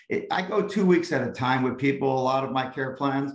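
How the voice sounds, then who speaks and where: A man talks at a fairly quick pace in a normal speaking voice. His pitch is medium, with ordinary variation. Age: 60s. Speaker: chiropractor. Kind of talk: interview.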